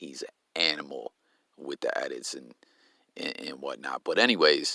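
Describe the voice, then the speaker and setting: The recording has a dry, close sound with no echo. A man speaks with big swings in loudness. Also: moderate pace. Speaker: YouTube commentator. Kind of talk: casual commentary vlog. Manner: halting, stumbling; animated.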